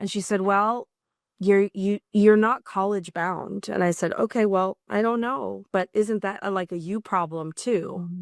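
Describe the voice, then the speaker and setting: In a very clean recording with a silent background and a dry, close sound free of echo, a woman at medium pitch speaks fairly slowly with fairly even intonation. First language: Spanish. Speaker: nonprofit executive. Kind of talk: interview.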